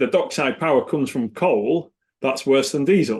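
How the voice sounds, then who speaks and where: A man speaks with an English accent. He keeps a moderate pace. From England. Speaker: environmental consultancy executive. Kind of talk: podcast interview. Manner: hesitant, repeats words.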